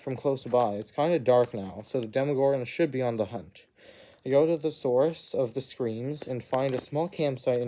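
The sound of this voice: The reading voice sounds unforced. Pitch rises and falls an ordinary amount.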